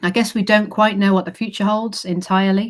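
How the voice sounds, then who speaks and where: A woman with an English accent and monotone, flat intonation on a very clean recording with a silent background. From England. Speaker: university recruitment manager. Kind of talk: presentation. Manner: hesitant fillers.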